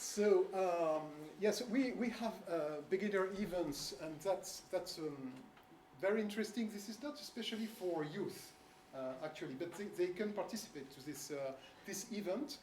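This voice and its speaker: The speaker has a French accent and keeps a moderate pace. Noticeable background noise runs underneath. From France. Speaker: bridge federation official presenting at coach seminar. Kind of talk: seminar presentation. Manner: halting, many fillers.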